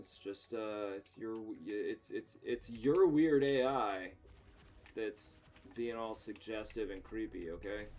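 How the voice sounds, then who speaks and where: The speaker talks at a fairly slow pace with an American accent, and the loudness swings widely. Music plays in the background. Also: man. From United States. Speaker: video game streamer. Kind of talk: casual gaming livestream commentary. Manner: animated, joking.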